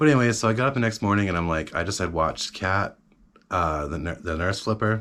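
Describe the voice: Over a silent background in a very clean recording, a man talks at a fairly quick pace with a fairly bright tone.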